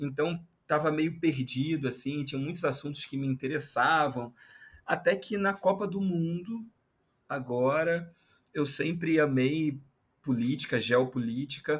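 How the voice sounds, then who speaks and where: The voice is somewhat breathy, with ordinary pitch variation and a fairly slow pace. The recording is very clean, with a silent background. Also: man, fairly high pitch for a man. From Brazil, Rio de Janeiro. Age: 30s. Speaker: journalist, anthropologist and content creator. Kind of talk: casual interview chat.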